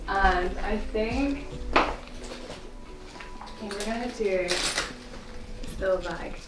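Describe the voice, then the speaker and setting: Over loud background noise, a woman talks at a very slow pace with long, frequent pauses. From Northern Ireland. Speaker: content creator. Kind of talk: casual vlog talk to camera. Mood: cheerful, excited. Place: home room. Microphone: camera far.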